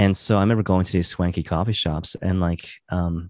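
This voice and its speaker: This man has a very deep, low voice and a western Canadian accent, with fairly even intonation. The sound is dry and close with no echo, and the background is quiet. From western Canada (Maple Ridge, British Columbia). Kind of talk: casual interview chat. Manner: casual, filler-heavy, laughs often.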